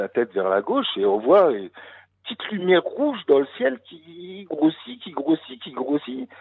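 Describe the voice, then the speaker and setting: The man's voice swings very widely in pitch. He keeps a moderate pace. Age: 40s. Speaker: caller telling UFO encounter. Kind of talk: testimony. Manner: halting.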